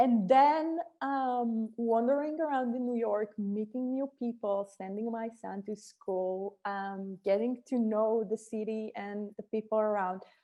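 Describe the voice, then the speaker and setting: A woman talks with an Israeli accent. Her fairly high voice shows ordinary pitch variation. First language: Hebrew. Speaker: startup co-founder and executive. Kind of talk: podcast interview. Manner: halting, with frequent fillers and restarts.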